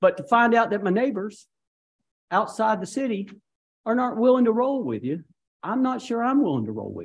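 Very wide pitch swings from a man, at a moderate pace. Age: 60s. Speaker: mayor chairing city council meeting. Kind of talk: council meeting. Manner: animated. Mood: irritated, frank. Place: hall.

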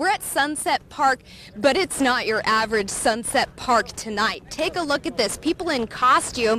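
A woman speaks at a high pitch with lively intonation and a moderate pace. The sound is dry with no echo, over light background noise. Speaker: TV news reporter. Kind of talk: live news report. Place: open country. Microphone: handheld.

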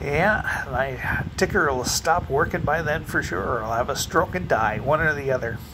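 A man talks at a moderate pace with noticeable background noise. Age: 50s. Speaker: vlogger. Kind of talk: casual monologue; casual vlog chat. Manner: halting. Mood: wry, joking about fears. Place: home room. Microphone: phone near.

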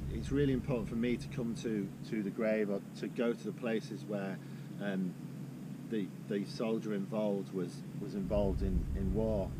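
Loud background noise, a man at a moderate tempo, and a dry sound without echo. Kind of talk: reading aloud, then reflective talk to camera. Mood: quiet, solemn. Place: open country. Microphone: camera far.

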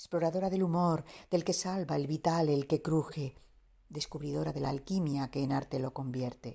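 Very deep and low for a woman, her voice is somewhat breathy with a dark, mellow tone, fairly even intonation, and a moderate pace. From Andalusia, Spain. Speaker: poet. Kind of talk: poetry reading.

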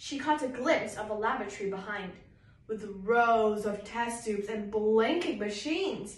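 Pitch varies in an ordinary way through this plain reading aloud.

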